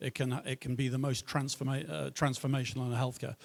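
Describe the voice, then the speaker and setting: A man speaks with a Liverpool accent. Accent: British, Liverpool. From northern England, Liverpool. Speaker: tech entrepreneur, panelist. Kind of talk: panel discussion introduction.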